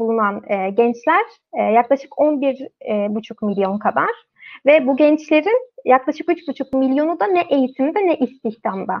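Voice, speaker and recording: A woman with lively intonation and a high voice talks fairly slowly. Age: 20s. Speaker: magazine team member, live stream moderator. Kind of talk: live stream panel discussion.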